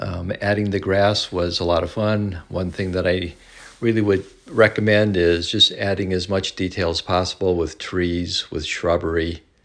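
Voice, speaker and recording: A man's very deep, low, monotone voice at a moderate pace. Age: 70s. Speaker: model train hobbyist. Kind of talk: narrated video tour. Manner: halting, many fillers.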